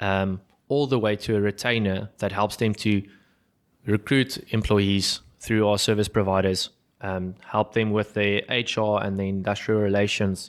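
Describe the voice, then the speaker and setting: Over a very clean recording with a silent background, a man with a South African accent talks at a fairly slow pace in a monotone, flat intonation. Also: fairly low pitch for a man. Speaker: business founder and podcast host. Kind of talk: business podcast conversation. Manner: halting, many fillers and repeats.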